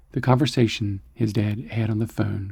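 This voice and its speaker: Soft-spoken and somewhat breathy, a man talks at a moderate pace in a dark, mellow, medium-pitched voice with fairly even intonation. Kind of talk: science fiction story narration.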